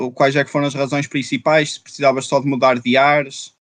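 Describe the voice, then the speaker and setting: The man's voice comes at a moderate pace, with a dry, close sound and no echo. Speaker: podcast host. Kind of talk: casual chat. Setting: livestreamed podcast.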